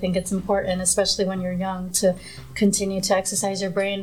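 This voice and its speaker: Fairly quick, flat, monotone speech from a woman with a somewhat breathy, medium-pitched voice. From Queens, New York (born in Nepal). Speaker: news reporter. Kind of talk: casual chat.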